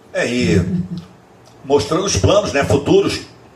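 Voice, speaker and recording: This man's speech comes through with noticeable background noise. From Bahia, Brazil. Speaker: long-distance skateboard traveler. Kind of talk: casual podcast interview. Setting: podcast recorded in host's home. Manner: repeats words, filler-heavy.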